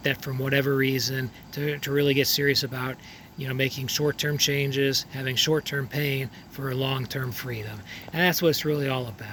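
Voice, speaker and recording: There is noticeable background noise as a man talks at a moderate pace in a monotone, flat intonation. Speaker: dentist. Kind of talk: casual talk to camera.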